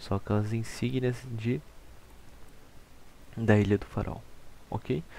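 A dark, mellow tone with a Brazilian accent, very slow pace, fairly even intonation and long, frequent pauses. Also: man, fairly low pitch for a man. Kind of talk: casual gaming walkthrough narration.

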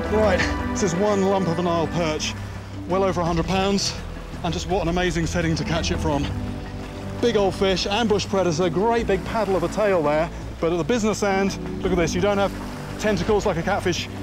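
A man with a high-pitched voice talks at a fairly quick pace over clear background music, the sound dry and free of echo. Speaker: presenter. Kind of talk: commentary. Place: waterside. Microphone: lapel.

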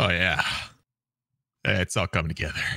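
In a put-on character voice, a man speaks at a moderate pace, his tone raspy and his pitch very deep and low, on a very clean recording with a silent background.

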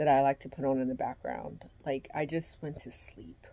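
Moderate pace from a woman. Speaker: vlogger. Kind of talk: casual vlog chat. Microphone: phone near.

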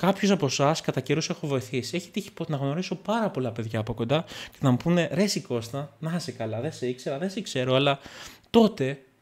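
A somewhat breathy voice at a fairly quick pace, with lively intonation. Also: man, fairly high pitch for a man. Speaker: tech YouTuber. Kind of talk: casual vlog monologue. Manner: calm and gentle; halting. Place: home room.

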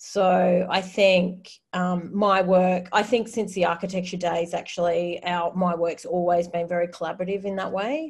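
A woman with an Australian accent, medium pitch, monotone, flat intonation, moderate pace and hardly any pauses, against a quiet background. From Australia, New South Wales. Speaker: artist and designer; panelist. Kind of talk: presentation in a webinar. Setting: video call from her bedroom. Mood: engaged, reflective. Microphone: video call.

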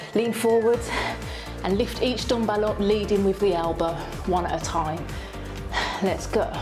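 A woman speaks with ordinary pitch variation. Clear music plays in the background. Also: moderate pace. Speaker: fitness instructor. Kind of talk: tutorial. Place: gym. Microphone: lapel.

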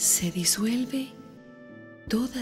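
A woman's lively intonation is heard with music in the background. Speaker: meditation guide. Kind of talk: guided meditation.

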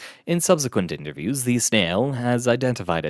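Read aloud in a natural voice, the text carries ordinary ups and downs in pitch.

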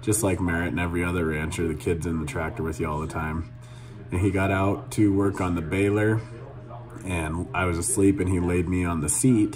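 A man's very deep, low voice over clear music in the background. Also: ordinary pitch variation, fairly quick pace. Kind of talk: casual vlog chat. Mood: earnest, reflective. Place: office. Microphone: phone near.

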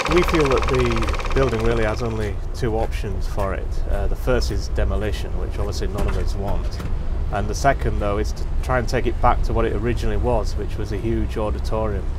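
Noticeable background noise and a man's fairly quick pace. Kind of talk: interview answer. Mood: calm, explanatory. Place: street.

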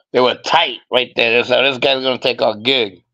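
Quiet background behind a man at a moderate pace. His tone comes across bright and sharp. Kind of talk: casual chat. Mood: casual, blunt, profane. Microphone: video call.

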